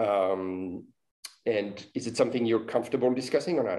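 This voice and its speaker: Speaking with a French accent at a moderate pace, a man has a dark, mellow tone and ordinary pitch variation. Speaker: podcast host. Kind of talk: interview.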